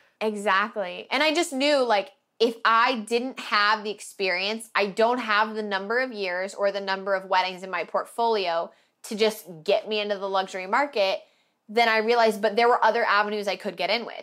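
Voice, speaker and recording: In a very clean recording with a silent background, a woman speaks with an American accent at a moderate pace. Her pitch is fairly high, her pitch variation ordinary, and her tone bright and sharp. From Oregon, US. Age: 20s. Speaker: wedding videographer. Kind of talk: podcast interview.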